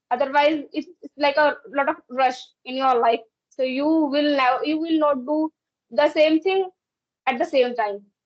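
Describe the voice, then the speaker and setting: The speaker has an Indian accent. The pace is moderate. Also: woman. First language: Hindi or another Indian language. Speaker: English learner in conversation practice. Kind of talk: casual conversation practice. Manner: halting, with repetitions.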